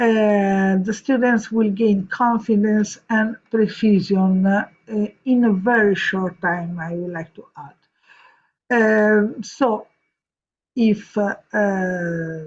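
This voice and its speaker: Very slow and somewhat breathy, a woman speaks at medium pitch with fairly even intonation. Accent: Italian. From Italy, Rome. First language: Italian. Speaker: vocal coach. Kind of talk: reading aloud. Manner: halting.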